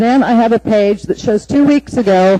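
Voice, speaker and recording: A woman's fairly high voice with ordinary pitch variation at a moderate pace, over noticeable background noise. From Alaska (Anchorage). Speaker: city engineer giving public testimony. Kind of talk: public testimony. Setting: municipal assembly meeting. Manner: formal.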